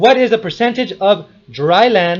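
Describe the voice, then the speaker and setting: A man with lively intonation. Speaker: history commentator. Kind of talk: rebuttal monologue. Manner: fast; animated.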